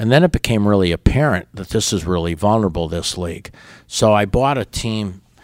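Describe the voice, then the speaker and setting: On a very clean recording with a silent background, a man with an American accent and an unremarkable speaking voice talks at a fairly quick pace, his pitch fairly low with ordinary variation. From Chicago suburbs, Illinois. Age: 60s. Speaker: baseball team co-owner. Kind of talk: interview.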